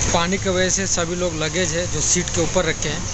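Loud background noise sits behind a man speaking at a moderate pace, his dry sound carrying no echo. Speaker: travel vlogger. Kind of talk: casual vlog chat. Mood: mildly complaining, explanatory. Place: train. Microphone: phone near.

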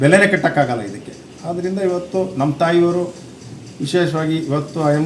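Pitched high, a man speaks with ordinary pitch variation. Noticeable background noise and audible room echo fill the recording. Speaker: son of elderly voter, villager. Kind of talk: news interview statement. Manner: halting, with false starts.

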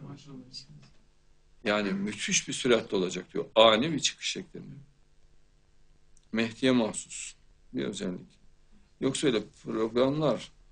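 Speech comes at a fairly slow pace with long, frequent pauses, big swings in loudness and ordinary pitch variation. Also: man. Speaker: show host. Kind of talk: religious talk. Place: studio.

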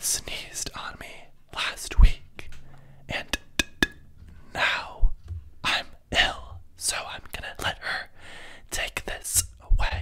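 Whispering and soft-spoken, a man talks at a very slow pace with long, frequent pauses and big swings in loudness. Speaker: video host. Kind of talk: casual vlog chat. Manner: soft close-mic ASMR whisper. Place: home room. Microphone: studio mic.

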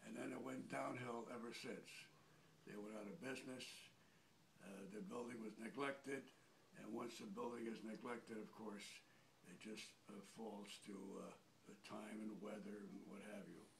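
A man with vocal fry and lively intonation at a moderate pace, long and frequent pauses, and light background noise. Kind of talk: interview answer. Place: empty room. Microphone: phone near.

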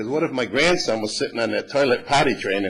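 A man with an unremarkable speaking voice, medium pitch, and a fairly quick pace. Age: 60s. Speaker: resident speaking at public comment. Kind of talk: public comment at council meeting. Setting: city council meeting. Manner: conversational, somewhat rambling.

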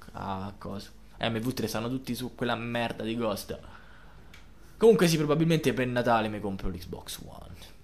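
Audible room echo carries the voice of a man speaking at a moderate pace. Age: 20s. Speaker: gaming youtuber. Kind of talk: live gameplay commentary. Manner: casual, swearing outbursts.

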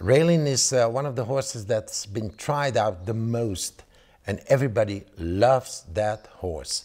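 The voice is somewhat breathy and moves at a fairly slow pace. The background is quiet. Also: man. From Belgium. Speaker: horse breeder and auctioneer. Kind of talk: promotional interview. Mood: enthusiastic, praising horses. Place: home room. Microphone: lapel.

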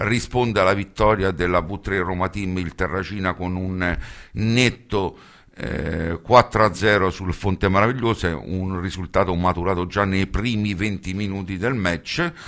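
Against a quiet background, a man with a very deep, low pitch speaks at a fairly slow pace with fairly even intonation. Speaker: radio host. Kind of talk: radio sports commentary and match summaries. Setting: studio. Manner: hesitant, filler-heavy, with frequent 'eh' pauses. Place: studio.

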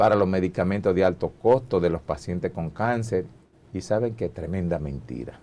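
Speaking at a moderate pace, a man has a very deep, low voice. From Dominican Republic. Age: old. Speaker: doctor and medical association leader; guest. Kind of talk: TV interview. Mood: critical, forceful. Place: studio. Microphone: lapel.

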